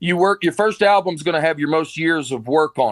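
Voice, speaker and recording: The recording is very clean, with a silent background and a dry, close sound with no echo. A man speaks in an Alabama accent. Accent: Southern US (Alabama). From US South, Alabama. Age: 40s. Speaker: comedian. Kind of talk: casual chat.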